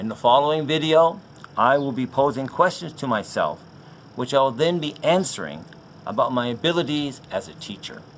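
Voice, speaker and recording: The man, fairly high in pitch, uses a plain, everyday voice and keeps a moderate pace. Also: ordinary pitch variation. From Canada. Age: 60s. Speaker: teacher. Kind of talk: job application video. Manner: formal.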